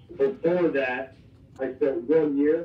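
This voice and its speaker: Speaking at fairly high pitch with an American accent, a man is heard with audible room echo. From Iowa. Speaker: college football strength coach. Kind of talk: interview. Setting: phone call. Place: office. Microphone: camera far.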